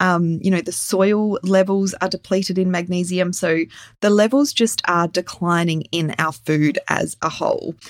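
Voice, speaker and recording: On a very clean recording with a silent background, a woman with an unremarkable speaking voice of medium pitch talks at a moderate pace. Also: ordinary pitch variation. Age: 40s. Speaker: children's health practitioner and podcast host. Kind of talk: solo educational podcast.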